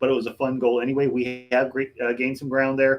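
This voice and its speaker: A man with a medium pitch keeps to a moderate pace. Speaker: butcher and livestream show host. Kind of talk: casual livestream chat. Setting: home room, livestream. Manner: loud. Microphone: echoey room with bare walls.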